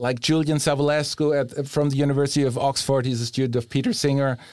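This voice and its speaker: A man with a German accent speaks on a very clean recording with a silent background. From Germany. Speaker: philosophy professor. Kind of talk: interview. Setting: studio.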